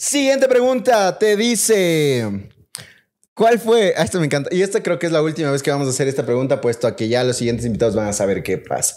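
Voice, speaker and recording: The pitch swings very widely at a fairly quick pace. The background is quiet. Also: man, fairly high pitch for a man. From Ecuador. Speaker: podcast host. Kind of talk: casual chat. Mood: playful, joking. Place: home room. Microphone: studio mic.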